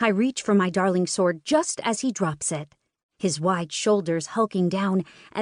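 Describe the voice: Over a quiet background comes plain reading aloud, its pitch varying in an ordinary way.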